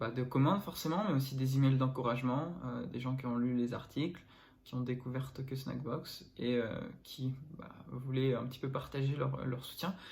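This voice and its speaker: Amid audible room echo, a man speaks at a medium pitch and moderate pace, somewhat breathy, with ordinary pitch variation. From northern France. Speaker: entrepreneur and vlogger. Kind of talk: casual vlog. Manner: hesitant, many fillers.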